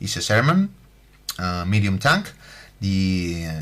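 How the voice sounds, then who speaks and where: A man with a fairly low pitch and a slight Spanish accent speaks at a very slow pace. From Spain. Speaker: scale model building tutor. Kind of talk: tutorial. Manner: halting, many fillers.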